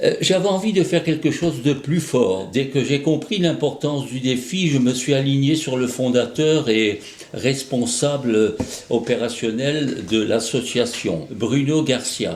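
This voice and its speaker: Against noticeable background noise and audible room echo, a man with a medium pitch speaks at a very slow pace with lively intonation. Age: 80s+. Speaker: association president. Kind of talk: scripted address. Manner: hesitant, frequent fillers.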